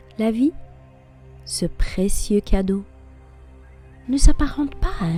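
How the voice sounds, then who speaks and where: Music plays behind a woman who speaks very slowly. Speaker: affirmation and personal-development podcast host. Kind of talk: guided personal-development talk, motivational narration.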